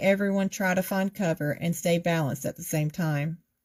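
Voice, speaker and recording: Moderate pace from a woman with a somewhat breathy voice. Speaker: author. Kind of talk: reading aloud. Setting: livestream video.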